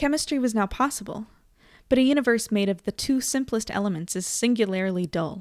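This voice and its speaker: A woman's fairly high voice at a fairly quick pace, lively in intonation, on a very clean recording with a silent background. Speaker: livestream host. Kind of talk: reading aloud; casual chat. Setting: live stream.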